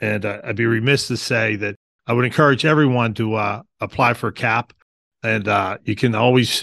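In a Western Pennsylvania accent, a man speaks with fairly even intonation. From Pittsburgh, Pennsylvania. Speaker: parking authority executive director. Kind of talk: interview.

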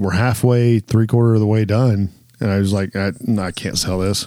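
This man has a dark, mellow, fairly low voice and an American accent. He speaks at a fairly quick pace with fairly even intonation. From Southern Ohio, US. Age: 40s. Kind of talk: casual chat.

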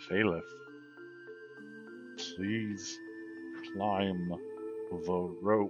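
A man uses a put-on character voice with a very deep, low pitch. Clear music plays in the background. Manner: through gritted teeth.

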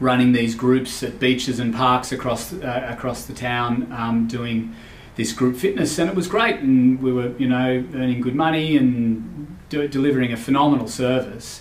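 Amid noticeable background noise and audible room echo, a man with an Australian accent talks at a moderate pace and medium pitch with fairly even intonation. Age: 40s. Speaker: podcast host and finance business owner. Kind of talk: solo podcast monologue. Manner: halting, many fillers.

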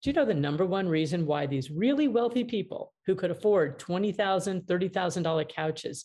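On a very clean recording with a silent background, a woman with a dark, mellow tone and a fairly low pitch sounds somewhat breathy, speaking at a moderate pace with lively intonation. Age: 60s. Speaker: mediator and author. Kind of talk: interview.

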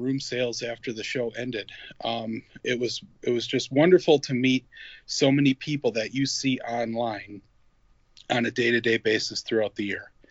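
An unremarkable speaking voice moves along at a moderate pace. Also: man. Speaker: toy collector. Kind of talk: casual chat. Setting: phone call.

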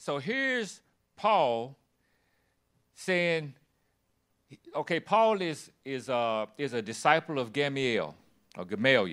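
A man with a Southern US accent talks at a very slow pace, leaving long, frequent pauses. His fairly high voice moves in very wide pitch swings. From US South, Tennessee (Shelbyville). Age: 60s. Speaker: guest preacher, disciple-making ministry leader. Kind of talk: sermon. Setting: church with congregation.

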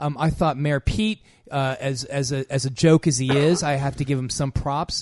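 With an unremarkable speaking voice, a man talks at a moderate pace with fairly even intonation. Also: fairly high pitch for a man. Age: 50s. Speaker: radio health show co-host, doctor. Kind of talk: casual chat.

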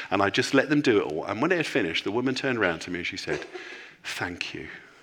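A man's voice with vocal fry, a bright, sharp tone and very wide swings in pitch. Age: 50s. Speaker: senior pastor. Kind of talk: sermon.

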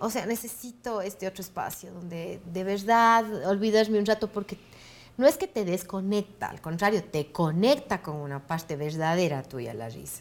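A woman with an unremarkable speaking voice, medium pitch and ordinary pitch variation, at a moderate pace. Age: 40s. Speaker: actress and comedian. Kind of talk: interview.

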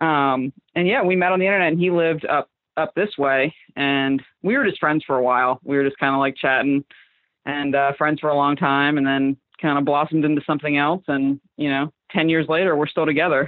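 With an American accent, a woman with a very deep, low pitch talks at a fairly quick pace, her loudness very even. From Southwest Florida, Fort Myers. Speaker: illustrator and designer. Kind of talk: casual interview chat.

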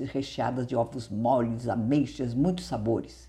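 The woman's tone is dark and mellow. She talks at a fairly slow pace. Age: 70s. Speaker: mental health podcaster and author. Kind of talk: reading aloud from own memoir.

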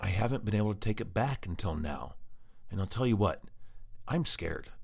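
Here a man with an American accent and a fairly low, somewhat breathy voice uses lively intonation. His pace is fairly quick, though long, frequent pauses break it up. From Colorado. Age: 40s. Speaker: podcast host living with MS. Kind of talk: personal monologue.

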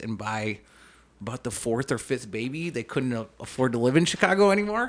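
An Upper Midwest accent at a moderate pace. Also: man. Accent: Upper Midwest American. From Minnesota (Saint Paul). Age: 30s. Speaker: police officer. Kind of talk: casual interview. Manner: talkative.

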